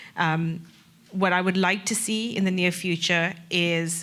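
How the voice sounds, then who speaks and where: A woman with a South African accent talks in a fairly low pitch. Her intonation is monotone and flat. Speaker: corporate sustainability director. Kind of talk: panel discussion.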